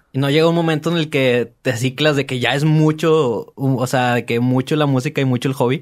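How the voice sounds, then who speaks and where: Hardly pausing, a man with a fairly high pitch and a Mexican accent keeps his loudness very even against a quiet background. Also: moderate pace. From Mexico. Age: 30s. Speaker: podcast host; podcast host interviewer. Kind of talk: casual interview. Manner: animated. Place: studio. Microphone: studio mic.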